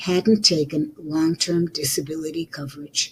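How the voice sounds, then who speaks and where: Somewhat breathy and fairly low for a woman, her dark, mellow voice moves at a fairly slow pace. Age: 70s. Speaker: podcaster and author. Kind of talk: reading aloud own letter.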